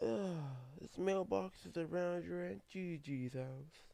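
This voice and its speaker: A put-on character voice with very wide pitch swings. The pace is fairly slow. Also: man, fairly high pitch for a man. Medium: read story.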